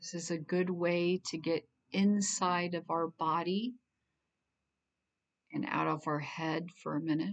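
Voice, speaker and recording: A woman at a fairly slow pace, long and frequent pauses, fairly even intonation. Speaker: mental health therapist. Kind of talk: guided meditation.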